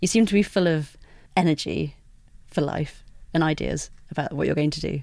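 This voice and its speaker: Despite long, frequent pauses, a woman talks at a fairly quick pace, her very deep, low voice showing vocal fry and ordinary pitch variation. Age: 30s. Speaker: podcast host. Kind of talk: casual chat. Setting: studio.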